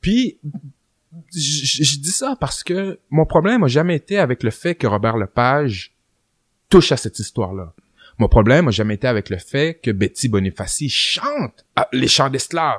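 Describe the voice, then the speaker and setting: A fairly high-pitched male voice with very wide pitch swings, a fairly slow pace and long, frequent pauses, in a dry, close sound with no echo on a very clean recording with a silent background. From Quebec City, Quebec. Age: 30s. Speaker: rapper and historian. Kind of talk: casual interview.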